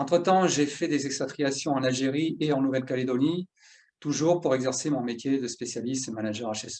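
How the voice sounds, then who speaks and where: Fairly quick male speech, fairly high in pitch, with ordinary pitch variation. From southern France. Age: 50s. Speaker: workplace safety specialist. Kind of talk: educational talk. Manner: halting, many filler 'euh'.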